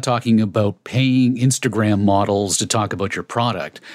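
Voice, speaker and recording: This is an unremarkable speaking voice with ordinary pitch variation at a moderate pace. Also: man. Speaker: podcast host. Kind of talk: scripted intro narration and interview.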